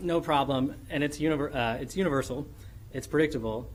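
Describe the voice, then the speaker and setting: With ordinary pitch variation and some vocal fry, a man talks amid audible room echo. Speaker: law professor. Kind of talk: academic conference presentation. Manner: fast; animated.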